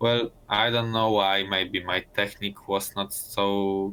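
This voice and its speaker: With a slight Italian accent, a man speaks at a very slow pace in a fairly low pitch and a monotone, flat intonation. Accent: Italian-tinged. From Poland. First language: Polish. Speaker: Olympic speed skater. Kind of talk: casual interview. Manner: halting, many fillers and restarts.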